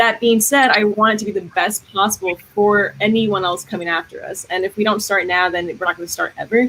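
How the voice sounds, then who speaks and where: In an American accent, a woman with an unremarkable speaking voice talks at a fairly quick pace and medium pitch, with ordinary pitch variation and hardly any pauses. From New York City, Queens (Astoria). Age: 20s. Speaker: political candidate. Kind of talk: candidate forum statement.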